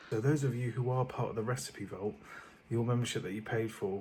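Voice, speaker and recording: A soft-spoken man with a British accent and fairly even intonation. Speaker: vlogger and cookery business owner. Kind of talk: casual vlog talk. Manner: soft-spoken, speaking quietly.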